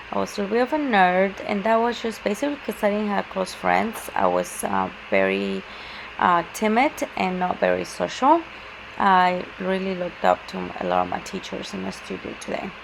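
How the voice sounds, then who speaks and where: Someone with a Spanish accent talks at a moderate pace over noticeable background noise. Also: woman. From Mexico City, Mexico. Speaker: student presenter. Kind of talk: class presentation. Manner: halting, many fillers.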